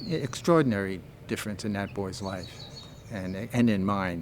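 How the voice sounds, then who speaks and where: Audible room echo fills the space. The pace is moderate, and the pitch varies in an ordinary way. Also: man. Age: 80s+. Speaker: foster grandparent volunteer. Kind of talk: interview testimony.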